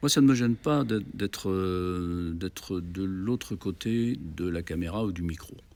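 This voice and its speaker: A man's very deep, low voice at a fairly slow pace with ordinary pitch variation. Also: hardly any pauses. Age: 70s. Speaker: festival organizer, former radio and TV program director. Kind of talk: interview. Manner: hesitant, many fillers.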